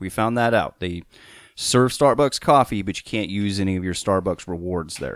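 A man with a normal speaking voice talks at a moderate pace in a fairly low pitch, with ordinary pitch variation. The recording is very clean, with a silent background. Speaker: podcast co-host, topic master. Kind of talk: casual banter chat.

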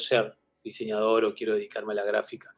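Background music plays. Over it, a man talks at a moderate pace. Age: 50s. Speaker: graphic designer and teacher. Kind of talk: interview. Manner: halting, many fillers and repeated words.

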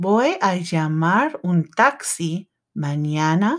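A woman's fairly low-pitched voice with lively intonation, in a very clean recording with a silent background. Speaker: Spanish teacher. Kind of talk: reading a story aloud. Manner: slow and deliberate in first reading.

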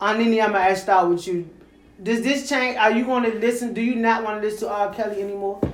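Noticeable background noise runs under this animated voice delivered at a very fast pace. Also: woman, fairly high pitch for a woman. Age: 40s. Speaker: podcast host. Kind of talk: casual chat.

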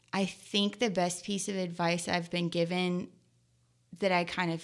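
The background is silent in this very clean recording. A woman talks in a medium pitch. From New Jersey and Kentucky. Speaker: sociology professor. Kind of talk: interview.

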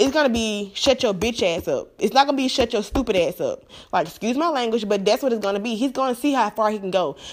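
Very fast and with hardly any pauses, a woman speaks in a fairly high, animated voice with lively intonation, in a very clean recording with a silent background. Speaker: podcast host. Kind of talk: casual monologue.

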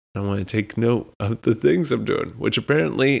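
A man with an American accent and vocal fry speaks at a moderate pace and fairly low pitch, with ordinary pitch variation. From Texas. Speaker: podcast host. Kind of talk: casual chat.

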